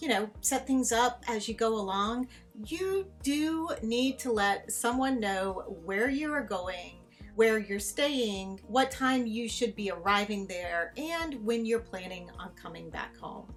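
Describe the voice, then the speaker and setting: Over music in the background, a woman with a fairly high pitch speaks at a very slow pace with lively intonation and hardly any pauses. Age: 50s. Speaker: travel vlogger. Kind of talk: casual talk to camera.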